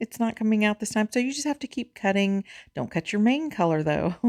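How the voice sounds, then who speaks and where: Loud and with very wide pitch swings, a woman is heard in a very clean recording with a silent background and a dry, close sound with no echo. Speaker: crochet and knitting instructor. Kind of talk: tutorial. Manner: animated.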